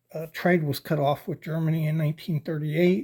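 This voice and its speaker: On a very clean recording with a silent background, a man's fairly high voice carries a dark, mellow tone. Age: 60s. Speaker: knife and razor collector YouTuber. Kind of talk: casual product review. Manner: hesitant, many fillers.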